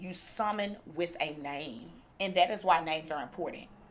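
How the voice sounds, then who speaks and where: The voice is loud and animated in tone. Its pitch variation is ordinary. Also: woman. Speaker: attorney. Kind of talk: casual vlog talk.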